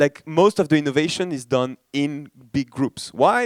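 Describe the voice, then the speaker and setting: A man with a French accent, fairly high in pitch, at a moderate pace, in a dry, close sound with no echo. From France. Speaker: startup ecosystem director, keynote speaker. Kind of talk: conference keynote. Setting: stage with audience. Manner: casual, many fillers and restarts.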